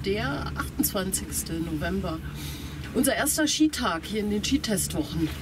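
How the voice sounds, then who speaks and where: A woman talks rather slowly while background noise is clearly audible. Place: open country. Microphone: phone near.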